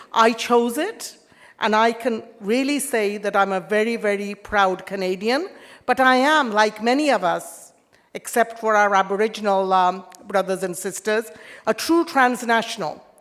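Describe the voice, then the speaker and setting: With an Indian accent, a woman speaks at a fairly high pitch. She keeps a moderate pace and ordinary pitch variation. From England, born in India. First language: Indian language. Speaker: politician. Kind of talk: formal speech.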